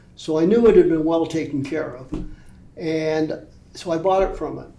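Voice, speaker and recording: There is audible room echo around this man's fairly high voice. He keeps a moderate pace while his loudness swings widely. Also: ordinary pitch variation. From Calgary, Canada. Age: 70s. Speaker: former client, motorcycle accident victim. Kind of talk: interview.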